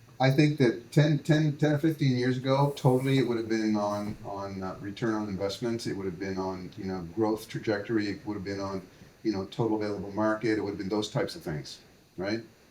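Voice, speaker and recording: Fairly quick speech is heard over noticeable background noise. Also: man, fairly low pitch for a man, ordinary pitch variation. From Canada, New Brunswick. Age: 60s. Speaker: entrepreneur, brewery founder. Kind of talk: podcast interview. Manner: halting, many fillers.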